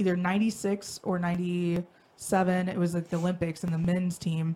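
A woman with a Midwestern accent speaks at a fairly slow pace in a fairly low pitch, her tone dark and mellow. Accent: general American, Midwestern. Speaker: podcast host. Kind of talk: casual chat. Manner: halting.

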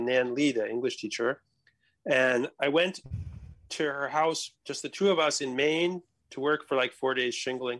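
A man talks at a fairly quick pace in an unremarkable speaking voice with an American accent and ordinary pitch variation. The sound is dry and close with no echo. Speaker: international policy analyst. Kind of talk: casual chat. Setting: video call.

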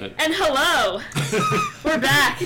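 The speaker uses a put-on character voice, high-pitched and breathy. Clear background noise can be heard.

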